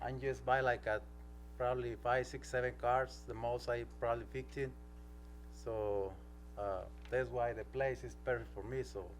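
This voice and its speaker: Audible room echo surrounds a man with a non-native accent. He talks at a moderate pace with long, frequent pauses. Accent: non-native English speaker. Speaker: applicant for a permit, used car seller. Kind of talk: public hearing testimony. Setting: city council meeting. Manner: halting.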